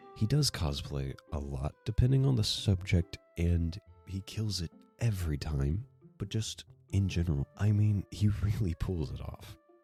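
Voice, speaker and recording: Over music in the background, a man with a very deep, low pitch speaks at a fairly slow pace with lively intonation. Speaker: video essayist. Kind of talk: video essay narration. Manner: casual, self-deprecating.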